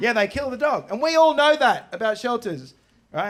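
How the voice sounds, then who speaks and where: Very wide swings in pitch from a man speaking at a moderate speed. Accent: Australian. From Australia. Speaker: stand-up comedian. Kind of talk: stand-up comedy set.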